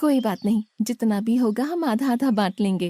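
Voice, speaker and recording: The voice is a cartoonish character voice that sounds female. Its pitch is fairly high. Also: moderate pace. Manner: sweet, respectful.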